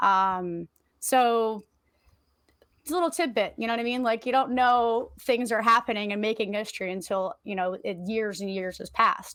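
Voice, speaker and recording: The recording is very clean with a silent background as a woman speaks at a moderate pace in a fairly high voice, with ordinary pitch variation. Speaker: history podcast co-host. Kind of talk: casual history presentation. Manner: halting, many fillers.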